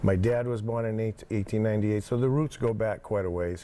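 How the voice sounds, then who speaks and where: In a Massachusetts accent, the voice has a dark, mellow tone and fairly even intonation. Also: man. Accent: New England (Massachusetts). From Plymouth, Massachusetts. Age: 60s. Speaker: former town selectman, construction equipment owner. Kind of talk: casual interview.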